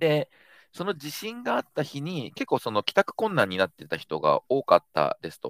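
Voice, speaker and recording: On a very clean recording with a silent background and a dry, close sound with no echo, a man speaks at a moderate pace with big swings in loudness. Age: 30s. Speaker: startup founder and CEO. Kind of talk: casual chat.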